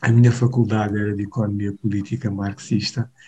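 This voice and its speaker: This man speaks with fairly even intonation and a dark, mellow tone that is somewhat breathy. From Mozambique, Maputo. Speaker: pastor. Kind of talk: interview conversation. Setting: remote call.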